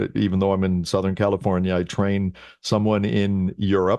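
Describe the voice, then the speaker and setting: A normal speaking voice at a moderate pace. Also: man. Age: 50s. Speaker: personal trainer. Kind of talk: interview. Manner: casual.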